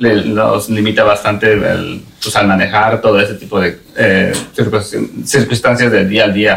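A man talks very slowly in a fairly low, monotone voice with flat intonation. Noticeable background noise is present. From Mexico (Puebla), raised in US from age 8. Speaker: business owner, metalworker. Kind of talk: interview. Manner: halting, many repetitions.

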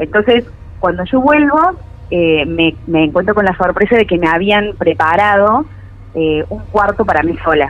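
Over noticeable background noise, a woman with a medium pitch talks at a fairly slow pace with ordinary pitch variation. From Córdoba, Argentina. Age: 30s. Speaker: caller sharing paranormal story. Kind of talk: personal testimony. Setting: remote call.

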